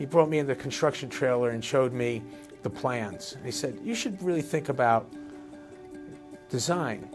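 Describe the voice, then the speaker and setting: Against background music, a man with an American accent talks at medium pitch and a moderate pace, with lively intonation and long, frequent pauses. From New Jersey, USA. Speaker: architect and urban planner. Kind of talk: interview answer.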